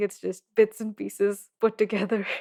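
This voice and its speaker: Recorded very cleanly against a silent background, a woman with a Goan accent and a medium pitch talks at a fairly slow pace. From India. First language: Konkani. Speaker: translator. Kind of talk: casual chat.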